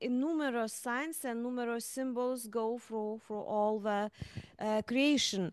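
A woman speaks at a high pitch with fairly even intonation, her voice dry with no echo over a quiet background. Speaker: art historian and museum curator. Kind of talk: interview questions. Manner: halting. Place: hall. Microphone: handheld.

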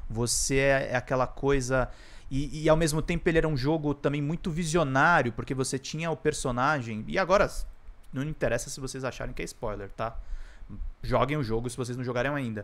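With a Brazilian accent, this man speaks fairly quickly in a fairly high pitch with ordinary pitch variation. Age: 30s. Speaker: gaming YouTuber. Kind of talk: casual video monologue. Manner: halting, many fillers. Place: home room. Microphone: studio mic.

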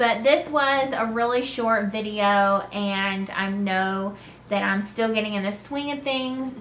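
Over light background noise, a woman with a Southern US accent speaks fairly slowly in a fairly high pitch with ordinary pitch variation. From North Carolina. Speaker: knitting podcaster. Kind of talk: casual chat. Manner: hesitant, many fillers.

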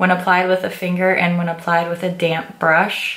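A woman of medium pitch, with noticeable background noise and audible room echo. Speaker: beauty vlogger. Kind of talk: product review and makeup tutorial.

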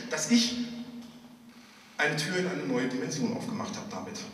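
Raising and projecting his high voice, a man talks at a moderate pace. The room echoes audibly, and light noise sits in the background. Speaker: pastor and slam poet. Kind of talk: poetry slam performance, storytelling with dialogue. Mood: humorous storytelling. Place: church.

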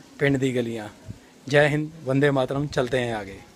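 A man talks fairly slowly while light background noise plays behind him. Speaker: travel vlogger. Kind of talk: casual vlog chat. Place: street. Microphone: phone near.

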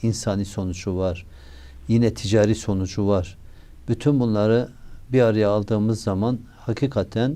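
A man speaks at a moderate pace with a fairly low pitch. His tone is dark and mellow, and his intonation fairly even. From Turkey, Şanlıurfa. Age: 60s. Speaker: mayor. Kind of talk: interview. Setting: studio.

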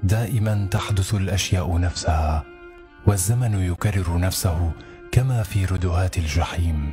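Music plays in the background as the speaker moves at a very slow pace with fairly even intonation. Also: man. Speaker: voice actor. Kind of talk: poetry reading.

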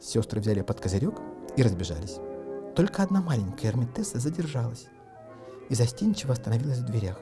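With faint music in the background, a man of medium pitch talks at a fast pace in a dark, mellow tone with big pitch swings.

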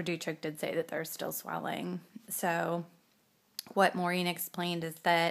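A plain, everyday voice speaks at a moderate pace. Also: woman. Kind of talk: casual vlog chat. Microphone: phone near.

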